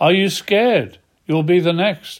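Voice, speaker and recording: A man is talking, with ordinary pitch variation. The background is silent and the recording very clean. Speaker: lay preacher. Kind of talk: reading aloud own rhyming devotional poem. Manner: earnest, measured rhetorical questioning; halting, hesitant when speaking off-script.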